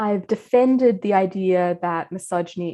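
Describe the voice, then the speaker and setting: A woman speaks at a moderate pace in a medium pitch. Her pitch varies in an ordinary way against a quiet background. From Australia. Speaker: philosopher, professor. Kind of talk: lecture.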